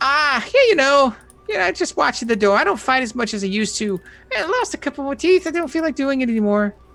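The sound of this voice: In a put-on character voice with a high pitch, the speaker races at a very fast pace over faint music in the background.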